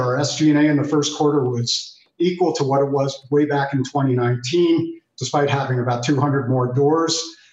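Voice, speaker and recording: A man talks in a fairly high, somewhat breathy voice with monotone, flat intonation. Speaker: apparel company executive. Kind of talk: TV business interview.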